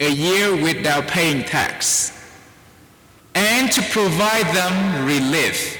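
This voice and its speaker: In a Vietnamese accent, someone talks very slowly at a very even loudness, with ordinary pitch variation. Noticeable background noise and audible room echo fill the recording. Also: man, high pitch for a man. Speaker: priest. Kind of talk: sermon.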